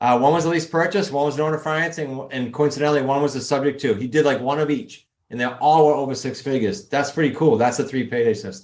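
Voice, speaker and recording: A man with a New England accent talks at a very fast pace in a fairly high pitch. He hardly pauses and uses ordinary pitch variation. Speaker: real estate investing coach. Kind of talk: podcast interview.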